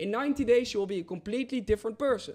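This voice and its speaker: In a very clean recording with a silent background, a man speaks at an extremely high pitch with ordinary pitch variation. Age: 20s. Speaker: trading coach and influencer. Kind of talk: live stream Q&A. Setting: live stream. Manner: halting, repeated words.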